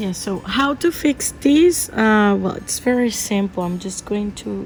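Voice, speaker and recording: A woman speaks at a very slow pace with a Spanish accent. Her pitch is medium. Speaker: art teacher. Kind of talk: tutorial. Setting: outdoors or open home, windy. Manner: halting, many fillers.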